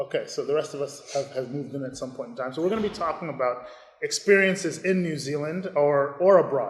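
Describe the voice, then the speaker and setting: Somewhat breathy, the voice races along at a very fast pace. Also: man. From Ghana. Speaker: school chaplain or teacher leading discussion. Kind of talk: moderated panel discussion. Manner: hesitant, with fillers and repeats.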